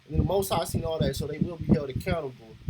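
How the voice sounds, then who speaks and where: A man speaks with an American accent and ordinary pitch variation. Noticeable background noise runs underneath. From Los Angeles, California. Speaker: reaction video creator. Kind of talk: reaction commentary. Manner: animated.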